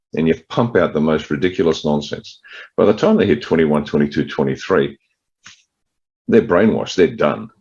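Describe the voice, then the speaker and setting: A man's very deep, low voice with an Australian accent, vocal fry, lively intonation and a fairly quick pace. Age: 60s. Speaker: political party leader. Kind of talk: interview.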